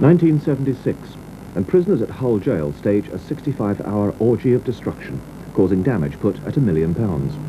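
Over noticeable background noise, a man with a fairly low pitch talks at a moderate pace, his pitch swinging very widely. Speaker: TV reporter narrating retrospective. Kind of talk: 1980s regional TV news feature voiceover, scripted narration. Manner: wry, polished, dryly witty, measured pace. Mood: calm, measured, solemn at times.

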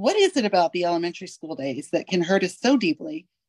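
Big pitch swings mark this woman's slightly mellow voice, which has a slightly husky edge. She speaks at a moderate pace in a dry, close sound with no echo.

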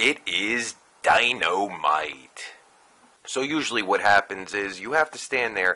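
This man's voice is very deep and low-pitched. He talks at a fairly slow pace with lively intonation. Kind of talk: comedic satirical voice-over narration. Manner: crude, sarcastic.

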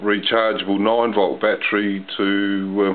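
A fairly low-pitched man at a moderate pace, with little pitch movement

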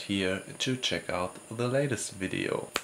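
With light background noise, a man speaks at a very slow pace and ordinary pitch variation. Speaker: travel vlogger. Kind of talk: casual vlog chat. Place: home room. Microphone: phone near.

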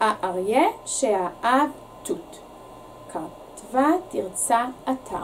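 Over light background noise, a woman talks at a very slow pace with very wide pitch swings. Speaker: teacher reading to children. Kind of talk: bedtime story read aloud to children, in a gentle, warm storyteller's voice. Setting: video recording for a school's summer reading series. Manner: animated, expressive, with playful repetition and teasing pauses. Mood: expressive, animated storytelling. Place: studio.

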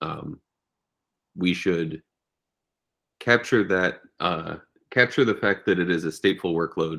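The recording is set against a quiet background. A man talks in a very deep, low pitch. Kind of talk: meeting discussion. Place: home room. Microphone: video call.

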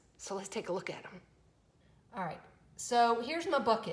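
A woman talks with a Southern US accent and lively intonation. Her voice is somewhat breathy. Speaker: fishing video creator. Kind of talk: casual vlog. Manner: animated.

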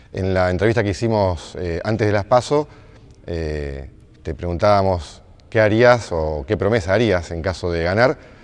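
Very deep and low, a man's voice moves with lively intonation. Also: moderate pace. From Argentina. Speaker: journalist interviewer. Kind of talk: interview. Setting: indoor basketball stadium. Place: gym. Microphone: lapel.

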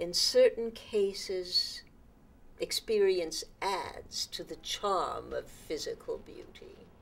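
Big swings in loudness mark a woman's very slow delivery. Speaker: actress in a drama role. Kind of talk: dramatic monologue. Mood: wistful, resentful, languid. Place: home room.

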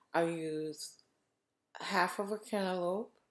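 At a very slow pace, a woman speaks at medium pitch in a very clean recording with a silent background. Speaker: vlogger documenting health journey. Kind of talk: video diary. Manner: halting, with fillers.

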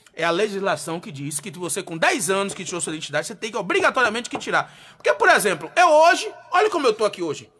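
A man talks in a raised, projected voice at a fairly quick pace. His tone is animated, and his pitch swings very widely. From Bahia, Brazil. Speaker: radio host. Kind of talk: live radio talk show. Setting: studio. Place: studio. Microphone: studio mic.

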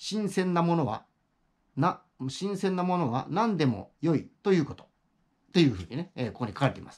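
A man's voice shows vocal fry and very wide pitch swings against a quiet background. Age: 60s. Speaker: YouTuber, retired office worker; YouTuber. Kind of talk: casual monologue. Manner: halting, many fillers. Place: home room. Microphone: phone near.

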